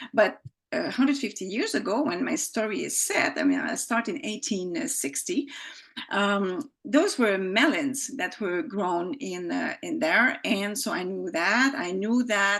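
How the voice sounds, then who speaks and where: The speaker has a French accent and vocal fry. The pace is fairly slow. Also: woman, fairly high pitch for a woman, lively intonation. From Quebec, Montreal. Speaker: author, former journalist. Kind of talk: casual interview. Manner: halting, many fillers and restarts.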